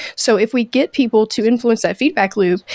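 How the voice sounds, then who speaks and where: A woman with a plain, everyday voice speaks at a moderate pace with ordinary pitch variation, in a dry, close sound with no echo. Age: younger than guest. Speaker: podcast host. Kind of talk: interview.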